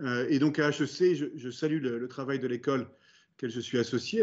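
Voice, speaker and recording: Here a man talks at a fairly quick pace. He has a normal speaking voice at a medium pitch. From France. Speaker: business executive. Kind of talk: interview. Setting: video call.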